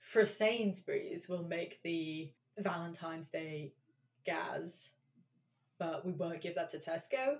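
A woman is speaking. She has a London accent. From England, London. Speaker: podcast co-host. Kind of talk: casual chat.

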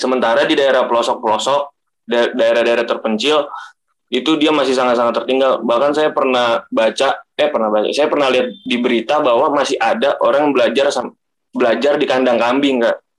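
An ordinary speaking voice at a fairly quick pace, with fairly even intonation and very even loudness. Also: man, medium pitch for a man. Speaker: university student.

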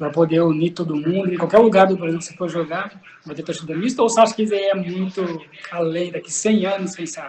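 Speech comes at a very fast pace with noticeable background noise. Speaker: podcast co-host. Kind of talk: casual interview chat. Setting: video call.

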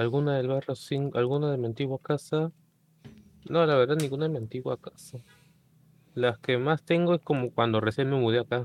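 A man with a Peruvian accent talks with long, frequent pauses. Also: medium pitch for a man, fairly even intonation, fairly quick pace. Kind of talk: casual chat.

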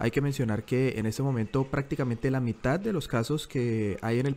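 The pitch moves in an ordinary way. It belongs to a man talking fairly quickly. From Colombia, Bogotá. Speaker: journalist and podcast co-host. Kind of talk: casual news discussion. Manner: halting, with frequent repetitions.

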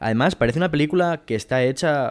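Lively intonation runs through the speech. The background is silent and the recording very clean. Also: man. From Asturias, Spain (Mieres). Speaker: podcast co-host. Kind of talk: casual chat. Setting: home.

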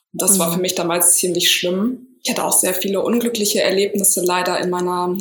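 A woman with a medium-pitched voice keeps her intonation fairly even as noticeable background noise plays behind her. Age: 30s. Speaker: yoga teacher and somatic coach. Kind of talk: interview.

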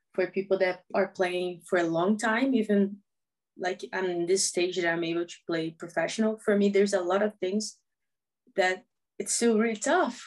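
A woman speaks with a Portuguese accent. Her pitch variation is ordinary. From Brazil, small town. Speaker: professional footballer. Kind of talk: interview.

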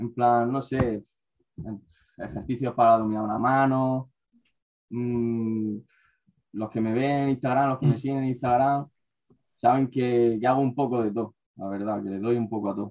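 A man at medium pitch, fairly slow and fairly even in intonation, with long, frequent pauses. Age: 20s. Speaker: calisthenics athlete. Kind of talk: casual chat.

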